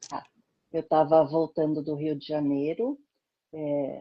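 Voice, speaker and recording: This woman has a very deep, low pitch. She talks at a fairly slow pace. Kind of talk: interview.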